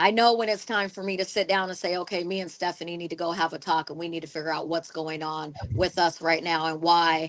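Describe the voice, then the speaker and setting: At a fairly quick pace, a woman with a fairly low pitch and an unremarkable speaking voice talks with fairly even intonation. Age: 40s. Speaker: podcast co-host. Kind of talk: casual chat.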